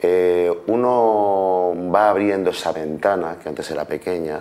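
A man speaks at a low pitch with a slightly mellow tone. His pace is fairly slow and his intonation fairly even.

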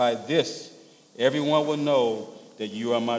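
Light background noise sits under a man with an American accent who speaks fairly slowly with fairly even intonation. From US South, rural Louisiana. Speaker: pastor. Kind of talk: sermon. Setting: church. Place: church.

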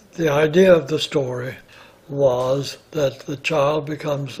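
A man speaks over noticeable background noise. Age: 80s+. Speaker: retired ballet dancer. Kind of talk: interview answer. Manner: reminiscing, hesitant.

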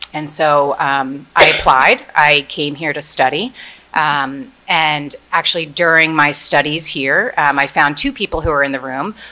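At a fairly slow pace, a woman speaks in a very deep, low pitch with a bright, sharp tone and fairly even intonation. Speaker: corporate executive; panelist. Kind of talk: panel presentation. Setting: stage with audience. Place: hall. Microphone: podium.

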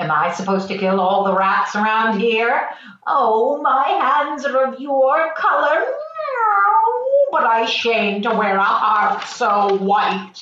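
A female-sounding voice puts on a character voice at a fairly high pitch and a fairly slow pace, with a slight echo. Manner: impatient, nagging, sarcastic.

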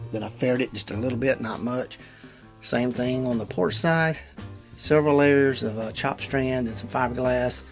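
A man talks at a moderate pace with ordinary pitch variation. Faint music plays in the background. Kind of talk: casual DIY walkthrough narration. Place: boat. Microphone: phone near.

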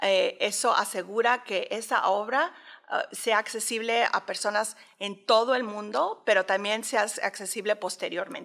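Against a quiet background, the speech runs at a fairly slow pace with fairly even intonation. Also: woman. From Mexico City. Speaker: art curator and professor; professor. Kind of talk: interview. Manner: halting, many fillers. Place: hall. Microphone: studio mic.

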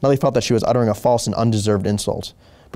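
The intonation is fairly even. The delivery is a natural reading voice.

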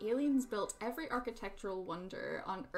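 A natural voice, reading aloud

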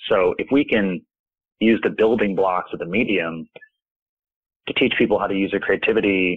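A man in an American accent talks at a moderate pace with a fairly low pitch. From US South, Athens, Georgia. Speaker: artist and creative director. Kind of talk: interview conversation. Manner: hesitant, many fillers.

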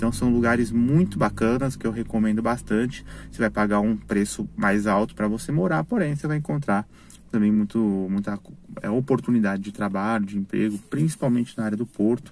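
The man's pitch is fairly low with ordinary variation. He talks at a fairly quick pace, and the sound is dry with no echo. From Brazil, coastal city. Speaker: YouTuber giving city guide. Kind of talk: casual vlog talk to camera. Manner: hesitant, many fillers. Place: car. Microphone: phone near.

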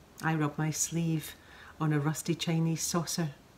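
A woman speaks in a Scottish accent at a fairly slow pace. Her voice is fairly low in pitch and somewhat breathy. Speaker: actress. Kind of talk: poetry reading.

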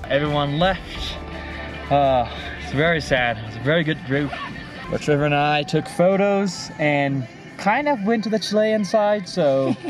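A man at a fairly slow pace, with clear music in the background. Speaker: travel vlogger. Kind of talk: casual vlog chat. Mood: cheerful, bittersweet. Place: car. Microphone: phone near.

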